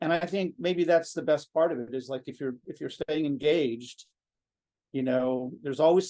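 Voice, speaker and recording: With a dark, mellow tone, a man talks in a fairly high pitch and fairly even intonation. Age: 60s. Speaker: composer. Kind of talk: interview. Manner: halting.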